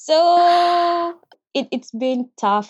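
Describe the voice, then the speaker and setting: Woman speaking very slowly, with very wide pitch swings. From Uganda. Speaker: international graduate student, engineer. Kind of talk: interview.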